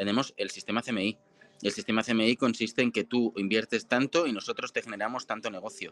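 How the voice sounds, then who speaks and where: Heard in a dry, close sound with no echo, a man with a plain, everyday voice and medium pitch talks at a fairly quick pace with fairly even intonation. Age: 30s. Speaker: marketing agency founder. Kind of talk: interview. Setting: live stream.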